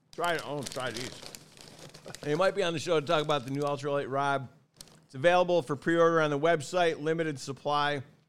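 This man talks at a fairly quick pace. His pitch is fairly high, with ordinary variation. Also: long, frequent pauses, big swings in loudness. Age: 50s. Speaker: fishing podcast host. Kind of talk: casual chat.

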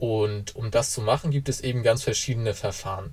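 A somewhat breathy male voice at a moderate pace, with ordinary pitch variation. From northern Germany, Kiel. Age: 20s. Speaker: university student and blockchain association board member. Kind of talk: explanatory interview.

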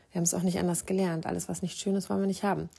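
Calm and soothing, a woman's fairly low, dark, mellow voice holds a flat, monotone intonation. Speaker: podcast host and meditation guide. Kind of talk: guided meditation. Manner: soothing, calm, gentle and slow-paced with long pauses; warm, intimate and reassuring.

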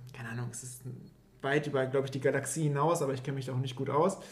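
There is audible room echo as a man speaks. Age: 20s. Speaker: podcast co-host. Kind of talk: casual chat.

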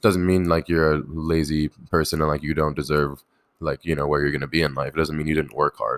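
In an American accent, the speaker talks at a very fast pace with fairly even intonation, and the sound is dry and close with no echo. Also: man. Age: 20s. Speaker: professional poker player. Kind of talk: casual chat. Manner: halting, many fillers.

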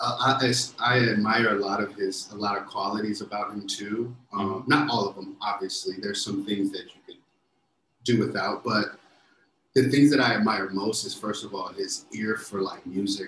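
A man with an American accent and a plain, everyday voice speaks at a moderate pace in a fairly low pitch. His intonation is fairly even, with big swings in loudness. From US Midwest, Chicago suburbs. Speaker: music producer and former football player. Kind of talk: casual interview chat. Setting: remote call from overseas.

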